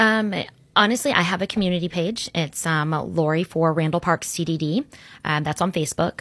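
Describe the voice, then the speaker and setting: On a very clean recording with a silent background and a dry, close sound with no echo, a woman speaks with a fairly low pitch and ordinary pitch variation. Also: moderate pace. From Orlando, Florida. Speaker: local political candidate. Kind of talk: interview. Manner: hesitant, many fillers.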